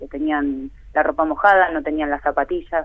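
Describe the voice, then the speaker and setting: A woman with an ordinary speaking voice speaks at a fairly low pitch with ordinary pitch variation. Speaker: art teacher. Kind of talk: interview.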